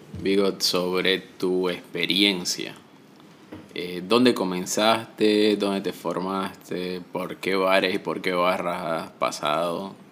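Noticeable background noise sits behind a man speaking very slowly. His voice is very deep and low, his intonation monotone and flat. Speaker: podcast host. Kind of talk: casual interview. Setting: in person, recorded together.

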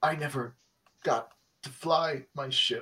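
A man puts on a robotic character voice pitched fairly high. He speaks at a fairly slow pace.

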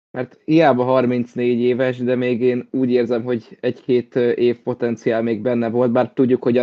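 A man's medium-pitched voice in a flat monotone. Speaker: football pundit. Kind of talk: casual football discussion. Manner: hesitant, repeats words.

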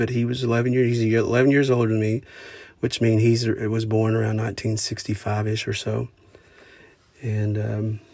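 With an Oklahoma accent, a man speaks fairly slowly at a medium pitch in a monotone, flat intonation. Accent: rural Oklahoma American. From southeastern Oklahoma, US. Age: 40s. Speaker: podcaster and musician. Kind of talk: solo monologue podcast. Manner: halting, many fillers; informal, conversational.

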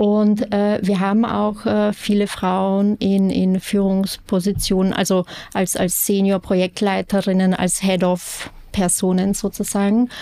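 A woman speaks at a medium pitch and a very slow pace. Her intonation is monotone and flat, her loudness very even. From Austria, Vienna. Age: 30s. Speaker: real estate sustainability manager. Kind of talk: interview.

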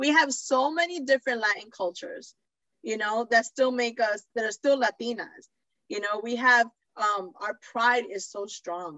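With lively intonation, an unremarkable speaking voice moves along at a moderate pace. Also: woman, fairly high pitch for a woman. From New York City (the Bronx), Puerto Rican parents. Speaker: podcast host. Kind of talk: casual chat.

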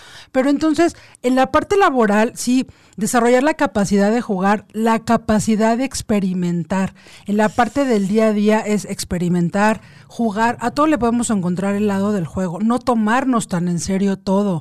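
A woman has a plain, everyday voice, pitched fairly high and moving at a moderate pace. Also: ordinary pitch variation. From Mexico City. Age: 40s. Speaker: lawyer and meditation workshop leader. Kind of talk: casual radio interview.

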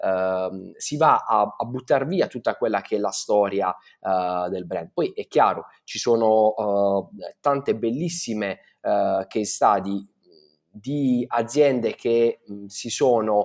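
On a very clean recording with a silent background, a man speaks very slowly at a medium pitch with ordinary pitch variation. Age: 30s. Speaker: brand designer. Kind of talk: interview. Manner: halting, many fillers.

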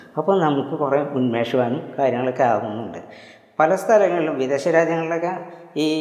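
A fairly high-pitched man with ordinary pitch variation, amid noticeable background noise and audible room echo. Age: old. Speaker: homeopathy doctor and martial arts teacher. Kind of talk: video lecture. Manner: halting.

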